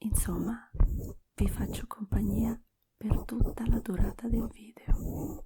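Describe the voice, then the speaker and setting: Long, frequent pauses break up the whispering, which moves at a very slow pace. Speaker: ASMR creator. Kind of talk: ASMR talk to viewers. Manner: soft-spoken.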